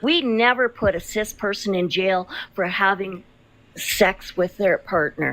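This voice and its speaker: Someone speaks with a plain, everyday voice at a fairly slow pace, with ordinary pitch variation. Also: woman, medium pitch for a woman. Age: 60s. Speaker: psychologist. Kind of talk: heated debate.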